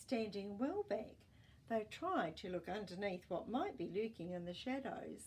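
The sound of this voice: This is an unforced reading voice. Nothing more marks it.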